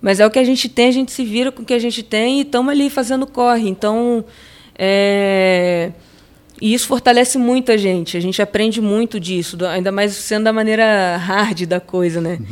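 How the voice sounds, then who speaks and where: This is an ordinary speaking voice at a moderate pace, heard in a very clean recording with a silent background. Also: woman. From Brazil, moved around São Paulo state and Macaé. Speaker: skateboarder. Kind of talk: casual interview.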